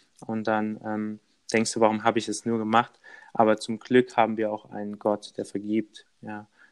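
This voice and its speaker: A fairly low-pitched man at a moderate pace, monotone and flat, with big swings in loudness. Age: 20s. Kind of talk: casual interview.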